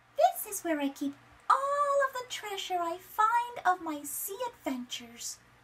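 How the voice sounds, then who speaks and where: A woman's squeaky, put-on character voice, extremely high in pitch, with very wide pitch swings and a warm, gentle tone. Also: moderate pace. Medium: read story.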